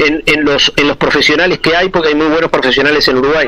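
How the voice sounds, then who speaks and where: A man's voice over noticeable background noise. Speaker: commercial announcer. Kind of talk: interview answer. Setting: phone line. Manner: talkative.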